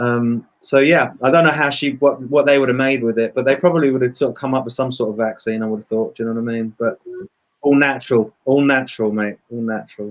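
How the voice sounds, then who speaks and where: A man speaks with an English accent at a medium pitch. His pace is very fast. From England (London and Brighton), born in Dublin. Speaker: musician and producer. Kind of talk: casual interview chat. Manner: animated.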